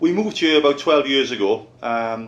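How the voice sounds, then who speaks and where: A man with a south Welsh Valleys accent. He talks at a moderate pace. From Wales, Rhondda Valleys. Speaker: open-water swimmer. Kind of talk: personal testimony. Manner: hesitant, many fillers.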